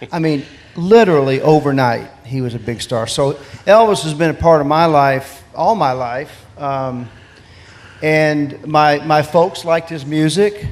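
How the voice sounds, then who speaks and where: Noticeable background noise sits behind a man whose voice is fairly high, speaking at a fairly slow pace. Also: ordinary pitch variation. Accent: American. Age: 60s. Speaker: gospel singer. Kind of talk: interview.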